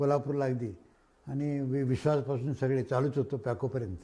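On a very clean recording with a silent background, a man talks in a fairly high voice. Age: 70s. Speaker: agricultural scientist. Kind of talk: lecture. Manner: conversational, loosely structured.

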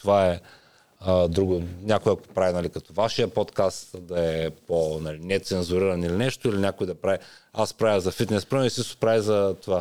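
A very deep, low male voice with a dark, mellow tone and fairly even intonation, on a very clean recording with a silent background. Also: moderate pace. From Bulgaria, Ruse. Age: 40s. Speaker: personal trainer and YouTuber. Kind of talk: casual interview.

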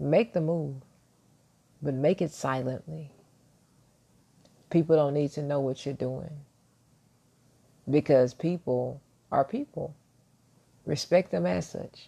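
A soft-spoken woman with a dark, mellow tone, a very deep, low pitch, lively intonation and long, frequent pauses. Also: fairly slow pace. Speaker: motivational vlogger. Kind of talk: motivational monologue.

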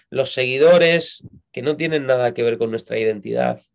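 This is a man speaking. His pitch is medium. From Spain, Madrid. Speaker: pastor. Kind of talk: interview.

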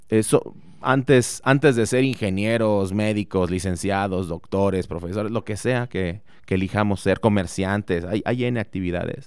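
Against a silent background on a very clean recording, a man with a normal speaking voice and a fairly low pitch talks at a moderate pace with ordinary pitch variation. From Mexico, Morelia, Michoacán. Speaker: engineering professor and researcher. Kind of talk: radio interview.

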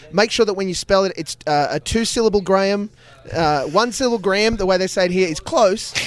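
Against noticeable background noise, a man talks at a fairly quick pace and a high pitch, with ordinary pitch variation. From Australia. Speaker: podcast host. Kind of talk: casual interview chat. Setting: at a live podcast festival.

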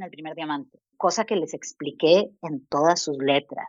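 A woman is speaking. Her pace is fairly slow. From Costa Rica. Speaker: design researcher. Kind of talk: interview.

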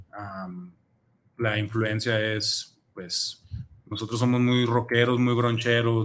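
Very slowly, a man speaks. His intonation is flat and monotone. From Mexico, Zapopan (Guadalajara area). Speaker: reggae musician, band leader. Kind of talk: casual interview. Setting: radio studio.

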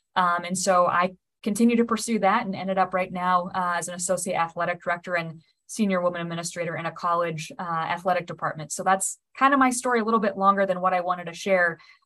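Talking at a very fast pace, a woman has a bright, sharp tone, medium pitch and fairly even intonation. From Nebraska. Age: 30s. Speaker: college athletics administrator. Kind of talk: interview.

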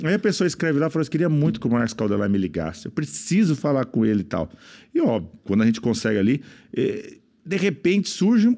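Against a quiet background, a man speaks at a very fast pace with very even loudness. His fairly high voice has a dark, mellow tone, vocal fry and very wide pitch swings. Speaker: businessman and speaker. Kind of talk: casual chat.

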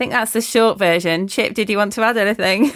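A woman talks with an East Midlands accent. Her voice is fairly high, with fairly even intonation. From Lincolnshire, East Midlands, England. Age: 40s. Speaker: prayer ministry leader. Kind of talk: casual chat. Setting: remote call.

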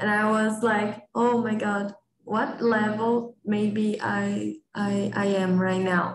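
A woman with a Portuguese accent, fairly high-pitched, very slow and monotone, her loudness very even throughout. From Brazil. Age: 20s. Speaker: lab analyst. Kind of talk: casual conversation practice. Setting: video call.

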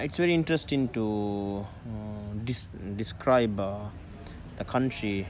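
A man speaks at a very slow pace. His pitch is fairly low, with ordinary variation. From Maldives. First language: Dhivehi. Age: 30s. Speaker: dive instructor. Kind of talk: casual interview chat. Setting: outdoors. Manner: halting.

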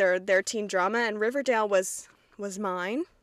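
A woman with an American accent at a fairly quick pace, the sound dry and close with no echo. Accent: slight Southern, mostly Midwestern-sounding. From Kentucky, US South. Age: 20s. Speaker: podcast host. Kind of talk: casual solo podcast monologue. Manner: casual, chatty, self-deprecating.

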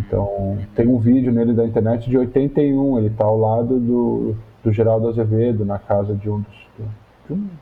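With medium pitch, a man speaks in a flat, monotone way. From Brazil, São Paulo. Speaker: musician, music professor and researcher. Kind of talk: interview conversation.

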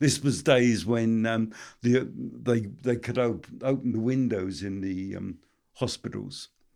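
Over a very clean recording with a silent background, a man speaks at a very slow pace in a medium pitch with ordinary pitch variation. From South Wales. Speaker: Celtic artist. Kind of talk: casual interview chat. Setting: in his studio. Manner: halting, hesitant, slow.

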